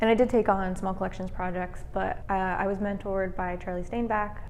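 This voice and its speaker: A woman with an American accent talks at a fairly quick pace and medium pitch, fairly even in intonation, with audible room echo. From US Southwest (Flagstaff, Arizona). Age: 20s. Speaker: museum curator. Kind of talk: interview monologue. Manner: hesitant with fillers.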